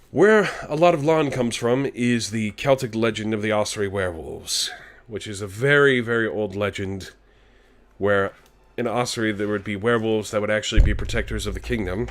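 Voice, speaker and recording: A raspy, put-on character voice moves along at a fairly quick pace. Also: man, medium pitch for a man. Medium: virtual streamer. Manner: casual, chatty, self-deprecating.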